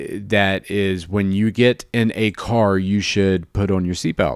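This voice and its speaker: A man with an American accent speaks at a very slow pace in a fairly low voice. The recording is very clean, with a silent background and a dry, close sound with no echo. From US South (Jacksonville, Florida). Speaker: podcast host. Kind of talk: casual chat; news reading. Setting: studio. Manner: halting.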